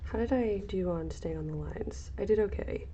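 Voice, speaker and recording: Through noticeable background noise and audible room echo, a woman speaks quietly. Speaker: crafting streamer. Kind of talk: casual livestream tutorial. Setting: livestream.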